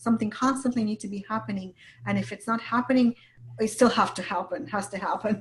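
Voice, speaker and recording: Very fast and fairly high-pitched, a woman speaks with vocal fry and fairly even intonation. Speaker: business coach. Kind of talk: interview.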